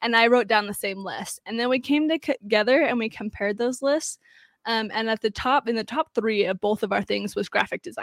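In a very clean recording with a silent background, a woman sounds enthusiastic, her fairly high voice moving fairly quickly with ordinary pitch variation. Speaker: online entrepreneur, digital nomad. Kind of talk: interview.

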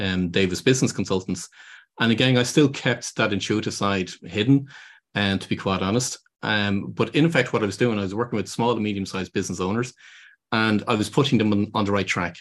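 A man with an Irish accent talks at a fairly quick pace, his pitch fairly low. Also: quiet background. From Ireland. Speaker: business consultant. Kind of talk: interview. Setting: remote call.

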